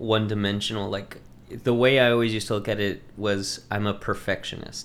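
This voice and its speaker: Here a man speaks with an American accent at a moderate pace. His pitch is fairly low and his intonation fairly even. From Texas, Lubbock area. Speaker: local politician and hot sauce maker. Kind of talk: casual chat.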